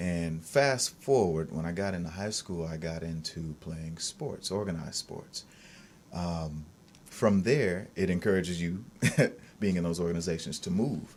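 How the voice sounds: A man at a low pitch, fairly slow pace and slightly mellow tone, with ordinary pitch variation.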